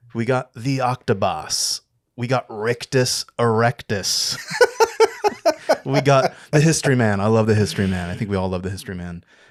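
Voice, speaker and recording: An unremarkable speaking voice, a man with an American accent talks at a medium pitch and moderate pace with ordinary pitch variation, in a dry, close sound with no echo. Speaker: film podcast co-host. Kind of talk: casual chat.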